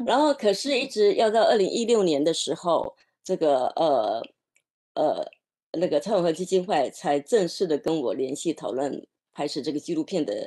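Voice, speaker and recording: This woman's voice has a dark, mellow tone and very wide pitch swings. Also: quiet background. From Taiwan. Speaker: documentary director; panelist. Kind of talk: panel discussion. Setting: video call. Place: home room. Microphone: video call.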